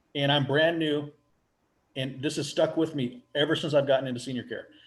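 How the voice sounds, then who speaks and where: A man with fairly high pitch at a fairly quick pace, music playing in the background. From US Pacific Northwest. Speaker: residential care home owner. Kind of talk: casual interview.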